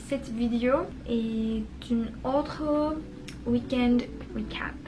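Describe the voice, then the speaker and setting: With noticeable background noise and audible room echo, a woman of high pitch speaks at a very slow pace in fairly even intonation. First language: not French (learner) (speaking French). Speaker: vlogger, French learner. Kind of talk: casual vlog narration. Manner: halting, with fillers.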